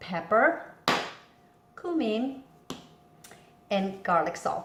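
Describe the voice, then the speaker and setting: There is audible room echo as a woman speaks in a fairly high voice. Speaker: home cooking video host. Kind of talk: cooking tutorial. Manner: casual with frequent fillers.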